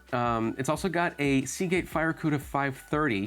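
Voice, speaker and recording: Music in the background under a man at medium pitch, moderate pace, and lively intonation. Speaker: PC hardware reviewer. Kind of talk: casual talk to camera.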